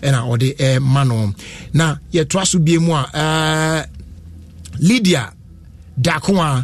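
A man speaks with a Ghanaian accent. His voice is somewhat breathy. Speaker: radio host. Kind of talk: live radio show hosting with ads and interviews. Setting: studio.

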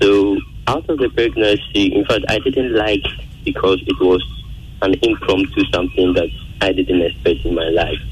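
Over noticeable background noise, a man with a Ghanaian accent talks at a moderate pace with very even loudness. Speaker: caller. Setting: phone call.

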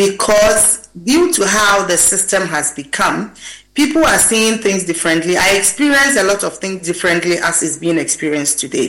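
At a moderate pace and medium pitch, a woman speaks with lively intonation through noticeable background noise. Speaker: gender and labor specialist. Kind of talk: panel discussion.

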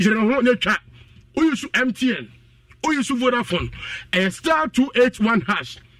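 A man with a Ghanaian accent talks at an extremely high pitch, his sound dry and close with no echo. Music plays in the background. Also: long, frequent pauses. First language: Twi. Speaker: radio promo presenter. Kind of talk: promotional announcement.

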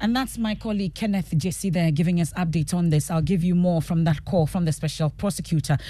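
The speaker has a Ghanaian accent and talks at a very fast pace. There are hardly any pauses. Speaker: radio news anchor. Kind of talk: live radio newsreading with headlines and handovers. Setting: radio studio, live broadcast. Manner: formal, brisk, polished broadcast delivery.

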